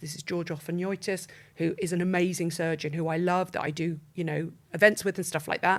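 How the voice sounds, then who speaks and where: Speaking at a very fast pace, a woman uses a fairly low pitch. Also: very clean recording, silent background. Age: 60s. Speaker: beauty editor. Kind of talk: interview.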